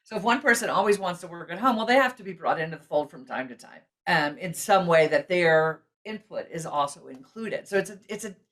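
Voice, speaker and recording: Speaking at a fairly quick pace, a woman with a medium pitch uses lively intonation and big swings in loudness. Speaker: personality assessment founder. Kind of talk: podcast interview. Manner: loud, fast.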